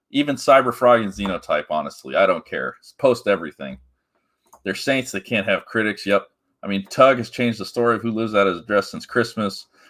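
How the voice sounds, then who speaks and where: Bright and sharp in tone, a man talks at a fairly quick pace with medium pitch and ordinary pitch variation. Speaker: comics commentary streamer. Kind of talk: live stream commentary. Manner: casual, hesitant with fillers.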